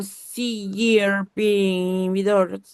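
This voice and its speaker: A woman with a Peruvian accent talks in a monotone, flat intonation. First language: Spanish. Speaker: physician audience member. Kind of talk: audience question. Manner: halting.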